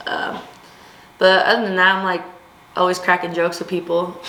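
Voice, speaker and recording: A woman with an American accent speaks at a fairly low pitch. The recording has audible room echo and noticeable background noise. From US West Coast, Long Beach, California. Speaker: college softball player. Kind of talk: casual interview. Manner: energetic, loud.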